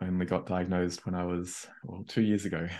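Low male voice, dark and mellow, with little pitch movement and a fairly quick pace.

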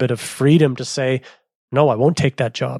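With a Canadian accent, a man with an ordinary speaking voice and a fairly high pitch talks at a fairly quick pace, the sound dry and close with no echo on a very clean recording with a silent background. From Canada, Manitoba. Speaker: cycling media founder. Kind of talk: interview.

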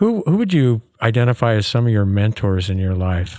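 An unremarkable speaking voice at a fairly quick pace with lively intonation, on a very clean recording with a silent background. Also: man. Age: 60s. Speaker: podcast host and dentist.

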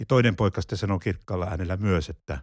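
A man speaks with a very deep, low pitch and a somewhat breathy quality. The recording is very clean and dry, close with no echo and a silent background. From Finland, Pieksämäki. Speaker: retired pastor. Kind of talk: casual chat. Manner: halting.

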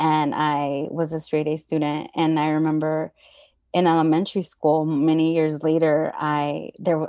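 A woman talks at a moderate pace in a very deep, low pitch. Her tone is dark and mellow, and her intonation stays flat and monotone. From Southern California, San Fernando Valley. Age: 30s. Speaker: nonprofit worker, Buddhist practitioner. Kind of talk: personal testimony in interview. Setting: remote call.

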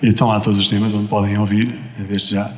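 Noticeable background noise and audible room echo fill the space. Within it, a man rattles off words at a very fast pace. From Portugal, Viseu. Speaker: singer-songwriter. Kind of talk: radio interview. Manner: halting.

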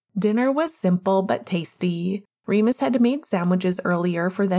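The quiet background sits beneath an unforced reading voice.

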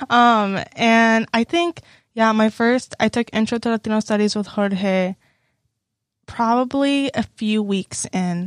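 In an American accent, a woman speaks very slowly at a fairly high pitch with ordinary pitch variation, on a very clean recording with a silent background, the sound dry and close with no echo. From Texas, Houston area. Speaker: university student. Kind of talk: casual chat.

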